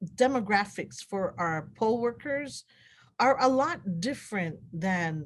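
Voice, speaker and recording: A woman with a Guamanian accent talks at a very slow pace, her pitch swinging very widely. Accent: Guamanian (Chamorro) English. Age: 60s. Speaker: election official. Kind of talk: interview.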